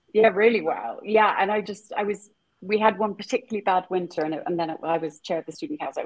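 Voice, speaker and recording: The speaker has a British accent and talks at a very fast pace. Pitch varies in an ordinary way. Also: woman, medium pitch for a woman. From England. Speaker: author and nonprofit founder. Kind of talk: casual interview.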